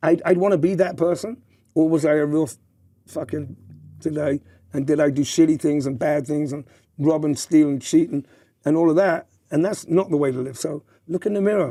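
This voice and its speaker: With an American accent and a dark, mellow tone, the speaker moves at a fairly quick pace broken by long, frequent pauses, using ordinary pitch variation. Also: man, fairly high pitch for a man. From southern England. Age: 60s. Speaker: former nightclub entrepreneur, podcast guest. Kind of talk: podcast interview. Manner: halting, with many repetitions.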